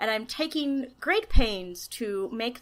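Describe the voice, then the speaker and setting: The tone is bright and sharp, with lively intonation. The recording is very clean against a silent background. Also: woman. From US, New York City. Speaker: astronomy professor. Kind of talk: interview. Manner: loud.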